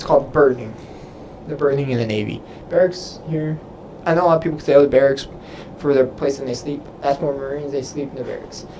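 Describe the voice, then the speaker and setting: A man with an American accent and fairly high pitch, very fast speech broken by long, frequent pauses, fairly even intonation and big swings in loudness, over noticeable background noise. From Texas. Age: 20s. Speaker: Navy sailor and YouTuber. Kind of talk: live stream Q&A. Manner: casual, halting.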